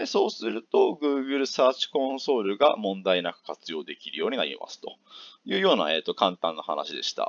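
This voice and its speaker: Delivered at a moderate pace, the speech shows big swings in loudness, with a dry, close sound and no echo. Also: man. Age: 30s. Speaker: YouTuber, blogger. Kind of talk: tutorial. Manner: hesitant with fillers.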